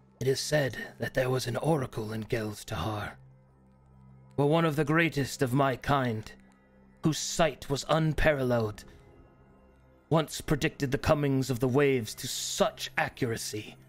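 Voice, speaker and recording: A man talks at a moderate pace with a medium pitch and ordinary pitch variation. Long, frequent pauses break up his speech while faint music plays in the background. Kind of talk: solemn fantasy monologue. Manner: reflective, melancholy.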